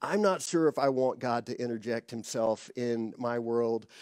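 A man, recorded dry with no echo, against a quiet background. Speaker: preacher. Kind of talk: sermon. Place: stage. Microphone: headset.

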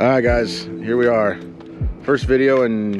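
A man with ordinary pitch variation in a dry sound with no echo, clear music playing in the background. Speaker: fishing channel host. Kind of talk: casual vlog chat. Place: boat.

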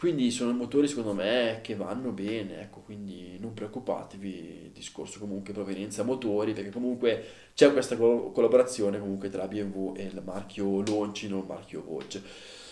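Audible room echo surrounds a dark, mellow voice at a moderate pace. Its pitch varies ordinarily, while its loudness swings widely. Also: man, fairly low pitch for a man. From Italy. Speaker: motorcycle video channel host. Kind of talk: casual video monologue reviewing a bike. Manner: conversational, filler words, fluent. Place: home room.

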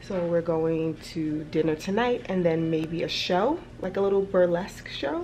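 Faint music plays in the background as a woman with a fairly low pitch speaks at a moderate pace. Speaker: travel vlogger. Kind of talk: casual vlog chat. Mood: relaxed, cheerful. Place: home room. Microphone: phone near.

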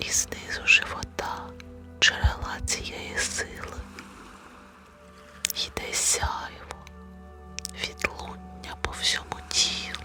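Whispering in a calm tone, a woman speaks at a very slow pace with long, frequent pauses over music in the background. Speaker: meditation guide. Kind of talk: guided meditation. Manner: whispered; slow, calm.

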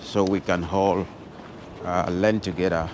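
A male speaker, moderate pace, light background noise, and dry sound with no echo. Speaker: travel vlogger. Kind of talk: casual vlog chat. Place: street. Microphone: phone near.

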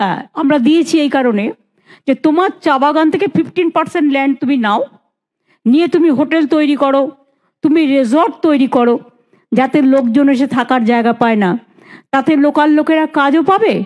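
A high-pitched woman's voice against a quiet background. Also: ordinary pitch variation. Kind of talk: public speech. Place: hall. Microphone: handheld.

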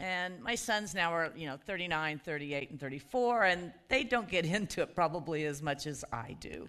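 A woman's fairly low voice against a quiet background. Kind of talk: worship welcome and introduction. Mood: warm, festive. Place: church.

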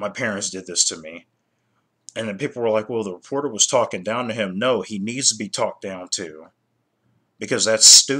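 A man speaks at a fairly low pitch. His tone is bright and sharp. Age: 30s. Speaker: YouTuber; vlogger. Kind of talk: casual commentary vlog; casual opinion vlog commentary. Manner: halting, many fillers and repetitions. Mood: annoyed, critical. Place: home room. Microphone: webcam.

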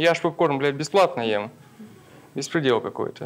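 Ordinary pitch variation marks this man's speech at a moderate pace. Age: 20s. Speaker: stand-up comedian. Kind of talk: stand-up comedy set. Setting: stage with audience. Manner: casual, conversational, with punchline pauses. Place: stage. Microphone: handheld.

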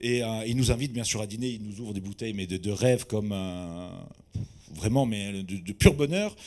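A man talks at a fairly quick pace in a dark, mellow tone with lively intonation. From Corsica. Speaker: sommelier; conference speaker. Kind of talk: testimony. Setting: stage with audience. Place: hall. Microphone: handheld.

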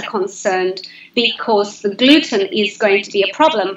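A woman speaks at a moderate pace in a fairly high voice, with audible room echo and light background noise. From Zimbabwe. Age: 50s. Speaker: health coach. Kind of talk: casual chat. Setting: live video stream. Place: home room. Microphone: video call.

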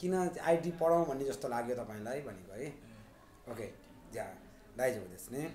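A man at a fairly quick pace, with lively intonation, big swings in loudness and long, frequent pauses, amid light background noise and audible room echo. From Nepal. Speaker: Japanese language teacher. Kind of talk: mock visa interview demo. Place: office. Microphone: phone near.

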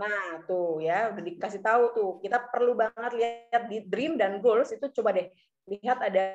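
A woman speaks at a moderate pace while faint music sounds behind her. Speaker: event MC. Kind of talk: seminar hosting. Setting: video call. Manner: animated. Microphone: video call.

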